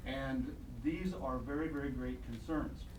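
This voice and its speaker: With noticeable background noise and audible room echo, a man with an American accent talks at a fairly slow pace. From Iowa/Illinois, US Midwest. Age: 60s. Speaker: doctor and health radio broadcaster. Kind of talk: public comment at city council. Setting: city council meeting. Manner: halting, with fillers.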